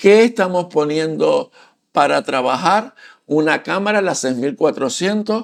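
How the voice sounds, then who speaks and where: Very wide pitch swings from a man speaking at a fairly slow pace. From Canary Islands, Santa Cruz de Tenerife. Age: 60s. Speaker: photography and culture YouTuber, retiree. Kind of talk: casual channel introduction talk to camera. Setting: home studio. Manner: halting, with fillers and repetitions.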